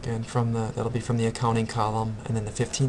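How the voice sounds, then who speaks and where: Monotone, flat intonation from a man, with audible room echo. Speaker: accounting instructor. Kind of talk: recorded tutorial lecture.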